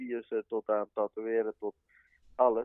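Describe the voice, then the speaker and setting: Here a man speaks in an ordinary speaking voice at a fairly slow pace. His pitch sits at a medium level. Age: 20s. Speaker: tattoo artist. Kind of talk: casual interview chat.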